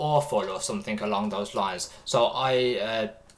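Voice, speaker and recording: A man with a British accent speaks at a fairly slow pace with ordinary pitch variation over noticeable background noise. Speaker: streamer reacting to videos. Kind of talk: casual livestream chat. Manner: halting, many fillers.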